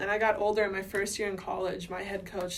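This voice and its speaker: With audible room echo, a woman at medium pitch talks at a very fast pace. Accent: American. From US Midwest, Minnesota. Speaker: volleyball coach. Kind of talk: interview.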